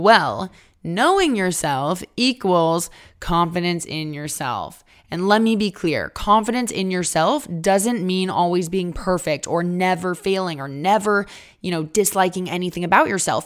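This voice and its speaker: On a very clean recording with a silent background, a woman with a medium pitch speaks at a fairly slow pace in an animated tone with ordinary pitch variation. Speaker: podcast host. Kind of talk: solo podcast monologue. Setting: recording at a relative's home.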